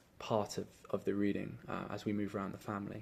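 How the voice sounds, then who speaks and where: Speaking with an English accent, a man uses a fairly low pitch. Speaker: teacher. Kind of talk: testimony. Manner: halting, many fillers.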